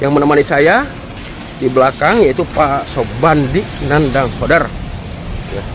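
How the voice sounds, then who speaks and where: This man's fairly high voice moves at a fairly slow pace with long, frequent pauses and ordinary pitch variation, and noticeable background noise sits behind it. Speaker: vlogger. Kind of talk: vlog walkthrough narration. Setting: outdoors then hospital.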